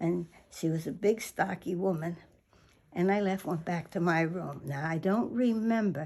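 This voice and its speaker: A woman is talking. Her intonation is lively. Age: 80s+. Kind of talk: interview answer.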